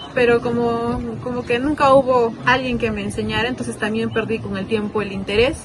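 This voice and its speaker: A woman speaks with a fairly high pitch and fairly even intonation. Her pace is moderate, with noticeable background noise. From Peru, Arequipa. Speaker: documentary interviewee. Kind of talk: interview testimony.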